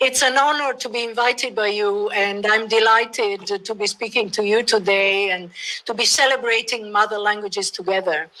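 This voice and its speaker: A woman with an Italian accent, fairly high-pitched and bright, sharp in tone, at a moderate pace with fairly even intonation. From Italy. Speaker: professor, bilingualism researcher. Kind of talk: lecture.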